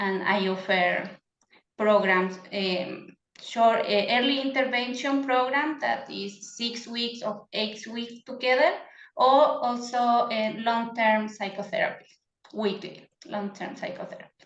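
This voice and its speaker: With audible room echo around her, a woman in a Chilean Spanish accent talks at a fairly slow pace, her fairly high voice showing ordinary pitch variation. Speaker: psychotherapist. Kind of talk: interview. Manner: halting.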